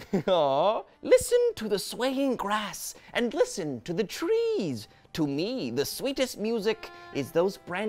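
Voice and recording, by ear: A passage is being read aloud. Nothing about the voice sounds unnatural; it is a natural voice.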